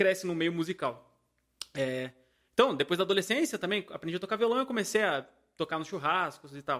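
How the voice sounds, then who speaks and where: High-pitched and bright, a man's voice has a sharp tone. He talks at a fairly quick pace with lively intonation. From Paraíba, Brazil. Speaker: band musician. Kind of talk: casual chat.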